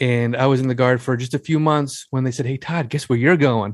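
A man with an American accent has an unremarkable speaking voice at a medium pitch. He talks at a fairly quick pace with fairly even intonation, and the sound is dry and close with no echo. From US Northeast, Long Island, New York. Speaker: author and military veteran. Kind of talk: interview conversation.

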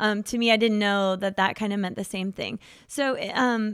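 This is a woman with a plain, everyday voice and a fairly high pitch, speaking at a fairly quick pace. The recording is very clean with a silent background. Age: 40s. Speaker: therapist. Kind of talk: casual chat.

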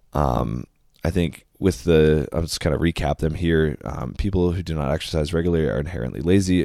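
A man with an American accent, a very deep, low pitch and a dark, mellow tone at a fairly quick pace, on a very clean recording with a silent background. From US Midwest, southwest Wisconsin. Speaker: podcast host. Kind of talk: solo podcast monologue. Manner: casual, filler-heavy.

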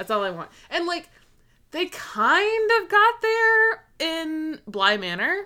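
A woman's raised, projected voice, extremely high and bright, sharp in tone, with very wide pitch swings at a very slow pace. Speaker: true crime podcast co-host. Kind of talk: casual chat.

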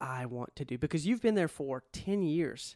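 A man with an ordinary speaking voice talks fairly slowly at a fairly high pitch. The recording is very clean with a silent background, and the sound is dry and close, with no echo. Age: 30s. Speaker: podcast host. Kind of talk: interview.

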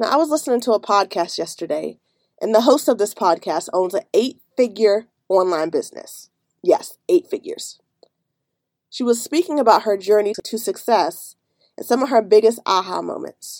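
In an ordinary speaking voice, a woman speaks at a fairly high pitch with lively intonation, the sound dry and close with no echo. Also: moderate pace. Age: 30s. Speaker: life coach and podcast host. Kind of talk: solo podcast monologue.

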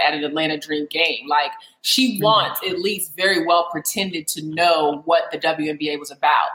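A woman talks with an American accent. Noticeable background noise is present. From US, Alexandria, Virginia. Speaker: women's basketball analyst. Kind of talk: casual interview chat.

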